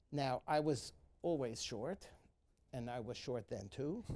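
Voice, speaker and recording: A man with a New York accent speaks at a medium pitch with ordinary pitch variation and a dark, mellow tone. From New York City, the Bronx. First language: Yiddish. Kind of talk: personal account in a moderated talk. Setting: live event with student audience. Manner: halting, many fillers.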